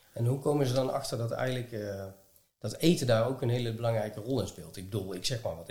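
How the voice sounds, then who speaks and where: Somewhat breathy, a man talks at a fairly quick pace in a medium pitch with ordinary pitch variation and audible room echo. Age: 40s. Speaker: podcast host. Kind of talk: casual interview. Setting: at guest's home. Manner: halting.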